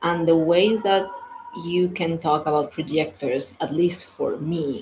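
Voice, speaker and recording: Against noticeable background noise, a woman with a non-native accent speaks at a fairly slow pace, her pitch fairly low with ordinary variation. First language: not English. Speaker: human design coach. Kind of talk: casual monologue. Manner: halting, many fillers.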